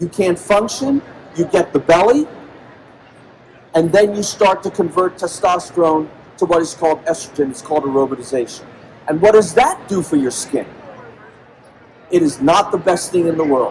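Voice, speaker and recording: Amid noticeable background noise, a man with a high pitch and ordinary pitch variation speaks at a moderate pace with long, frequent pauses. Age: 60s. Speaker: medical doctor and health speaker. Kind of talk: conference talk to live audience. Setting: stage with audience at convention. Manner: animated, rhetorical questions.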